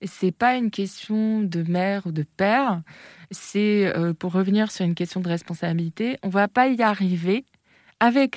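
Recorded very cleanly with a silent background and a dry, close sound with no echo, a woman with a normal speaking voice talks at a fairly slow pace in a medium pitch with ordinary pitch variation. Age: 30s. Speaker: entrepreneur. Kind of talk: interview.

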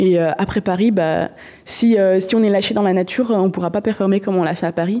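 The speaker talks at a fairly quick pace with very even loudness and fairly even intonation, with noticeable background noise. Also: woman, medium pitch for a woman. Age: 20s. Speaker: paralympic canoeist. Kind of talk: interview.

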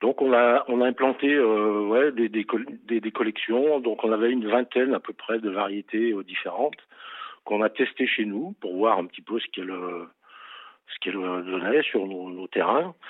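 This man speaks at a medium pitch and a fairly slow pace, with ordinary pitch variation. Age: 60s. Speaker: farmer. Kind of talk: interview. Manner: halting.

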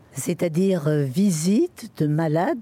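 Dark and mellow in tone and somewhat breathy, a woman's fairly low voice carries lively intonation, recorded dry and close with no echo. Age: 80s+. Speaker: hospital visiting volunteer. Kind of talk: testimony.

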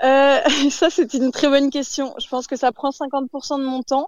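A woman speaks at a high pitch. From Paris region, France. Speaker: fishmonger. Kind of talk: interview.

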